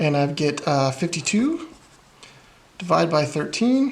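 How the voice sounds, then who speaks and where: There is noticeable noise in the background. A man talks over it fairly slowly. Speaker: math teacher. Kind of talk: tutorial.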